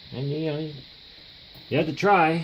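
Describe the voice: Speaking at a fairly slow pace, a man uses a fairly high pitch, a fairly bright tone and fairly even intonation.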